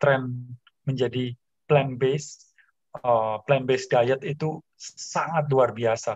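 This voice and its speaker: Speaking very slowly at medium pitch, a man sounds somewhat breathy with fairly even intonation, in a dry sound with no echo over a quiet background. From Indonesia. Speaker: motivator and author; talk show guest. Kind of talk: talk show interview. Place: home room. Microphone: video call.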